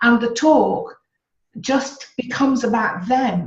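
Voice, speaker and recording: A woman is speaking. She has a Birmingham accent. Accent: Birmingham (Brummie). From Birmingham, England. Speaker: public speaker and communication expert. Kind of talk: interview.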